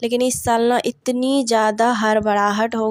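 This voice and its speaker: Dry and close with no echo, a woman's voice at fairly high pitch moves very slowly in a monotone, flat intonation. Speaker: vlogger, housewife and mother. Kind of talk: casual vlog narration. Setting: neighbour's home during puja. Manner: halting, many fillers.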